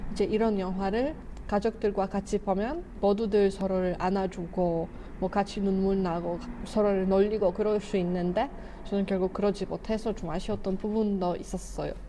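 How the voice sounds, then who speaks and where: At a moderate pace, a woman with a Polish accent talks in a medium pitch with fairly even intonation. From Poland. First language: Polish (speaking Korean). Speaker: YouTuber, film reviewer. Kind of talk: casual vlog talk, movie review.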